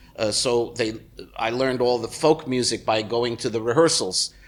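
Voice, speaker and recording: Here a man speaks with a New York accent. His pitch is medium and his intonation fairly even. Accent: American (New York area). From New Jersey, US. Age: 60s. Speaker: musician. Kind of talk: interview. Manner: halting, many fillers.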